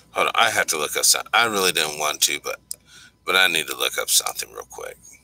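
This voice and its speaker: The recording is dry and close, free of any echo. In it, a man speaks at a very fast pace. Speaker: livestream host. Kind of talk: live stream commentary. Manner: low energy; halting.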